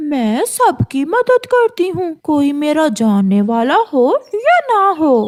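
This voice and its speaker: A woman's cartoonish character voice, high in pitch, with very wide pitch swings at a very slow pace. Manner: falsely sweet, scheming.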